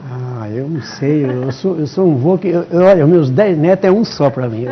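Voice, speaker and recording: A man's fairly high voice rises and falls in a lively way as background noise is clearly heard behind him. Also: moderate pace. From São Paulo state, Brazil. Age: 70s. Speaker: retired father of a police chief. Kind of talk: TV interview. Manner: halting, with many repetitions.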